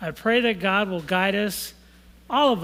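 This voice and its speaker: Here a man talks at a moderate pace with a high pitch. His pitch varies in an ordinary way. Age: 60s. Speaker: lay church member leading prayer. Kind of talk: church prayer and reflection.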